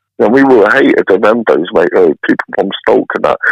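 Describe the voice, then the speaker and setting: A man with a Mancunian accent talks at a very fast pace in a dry, close sound with no echo. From Hyde, Greater Manchester, northern England. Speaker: interview guest telling life story. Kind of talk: casual podcast interview. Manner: animated.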